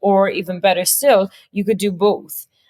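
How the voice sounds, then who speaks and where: A woman speaks with an Irish accent. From Ireland. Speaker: marketing consultant and AI strategist. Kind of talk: podcast interview.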